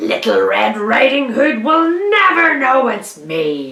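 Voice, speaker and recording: Growling in a put-on character voice, a woman speaks at a fairly high pitch and a fairly slow pace. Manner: snarling.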